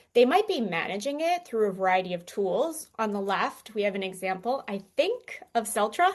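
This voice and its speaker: A woman with a fairly high pitch speaks in very wide pitch swings, hardly pausing at all. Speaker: conference speaker. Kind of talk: conference presentation. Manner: fast.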